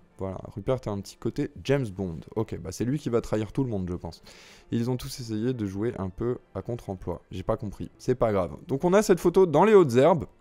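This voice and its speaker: A medium-pitched man speaks at a moderate pace in a dark, mellow tone. His pitch swings very widely, and his loudness shifts greatly. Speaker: movie news youtuber. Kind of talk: casual commentary reading an article.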